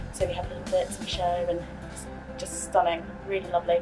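A woman talks at a fairly quick pace over clear music in the background. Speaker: travel agent guide. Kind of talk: casual vlog chat. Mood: enthusiastic. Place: hall.

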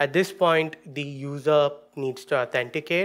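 A man's very slow speech with fairly even intonation against a quiet background. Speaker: conference presenter. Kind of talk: technical talk. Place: stage. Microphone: podium.

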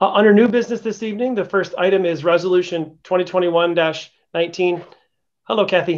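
Over a quiet background, a man with an American accent talks at a high pitch with fairly even intonation. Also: moderate pace. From US Midwest. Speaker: city council committee chair. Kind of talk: council meeting. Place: office. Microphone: video call.

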